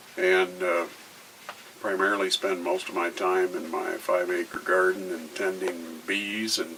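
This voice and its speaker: There is noticeable background noise. Through it, a man speaks at a fairly slow pace. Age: 60s. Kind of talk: personal testimony. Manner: hesitant, many filler words.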